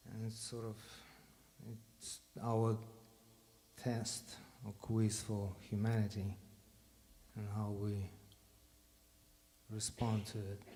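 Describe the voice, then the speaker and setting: Slowly and with long, frequent pauses, a man speaks in a fairly low, dark, mellow, somewhat breathy voice, monotone and flat, with audible room echo. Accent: Russian. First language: Russian. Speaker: bandleader. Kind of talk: stage talk to audience. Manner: halting.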